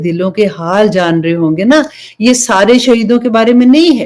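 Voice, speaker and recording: A woman talks in a plain, everyday voice. Her pitch sits fairly high and her intonation is lively. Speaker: Islamic preacher, religious teacher. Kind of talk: Islamic sermon (bayan) to an audience.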